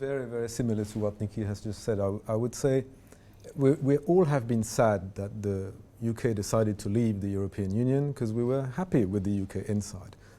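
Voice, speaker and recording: A man speaks at a fairly quick pace in a dark, mellow tone. His pitch is medium with ordinary variation. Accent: French. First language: French. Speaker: diplomat. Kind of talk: panel discussion.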